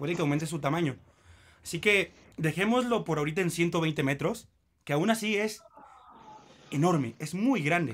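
A man with a high pitch and lively intonation talks at a moderate pace, broken by long, frequent pauses. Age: 20s. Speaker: podcast host. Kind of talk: casual chat.

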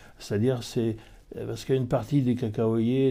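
The pace is fairly slow. The tone is dark and mellow. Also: man. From France, Mayenne. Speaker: master chocolatier. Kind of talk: interview. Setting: chocolate shop. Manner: halting, many hesitations.

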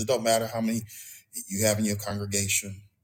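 This man's voice is somewhat breathy. It sits at a fairly low pitch. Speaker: pastor. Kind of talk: sermon. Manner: halting.

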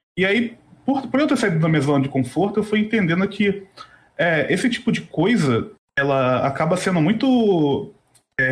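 A man with a high voice speaks in very wide pitch swings. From Brazil, Rio de Janeiro. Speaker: podcast host. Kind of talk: casual interview. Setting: live stream.

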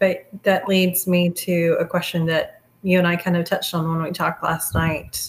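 With a somewhat breathy voice, a woman speaks at a fairly low pitch and a moderate pace. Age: 40s. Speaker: podcast host and special education parent advocate. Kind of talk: casual interview.

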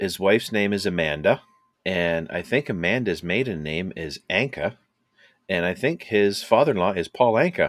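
In a Canadian accent, a man with a normal speaking voice talks at a moderate pace, his fairly low pitch carrying lively intonation. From Canada. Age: 50s. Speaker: podcast co-host. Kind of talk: casual chat.

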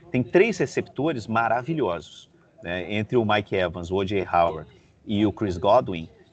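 A man's plain, everyday voice, fairly low in pitch, at a fairly slow pace with lively intonation. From Brazil, Rio de Janeiro. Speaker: NFL podcast host. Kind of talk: casual sports chat. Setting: at a football stadium before a match.

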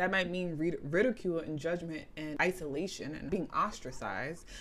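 With a New York accent, a woman speaks at a fairly low pitch with ordinary pitch variation. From New York, the Bronx. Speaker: spiritual practitioner, tarot reader. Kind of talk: interview conversation. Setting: video call.

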